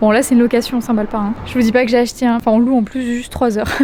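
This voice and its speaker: A woman speaks softly in a high pitch. Noticeable background noise runs behind her. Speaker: vlogger and Pilates influencer. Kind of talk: casual vlog. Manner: soft-spoken.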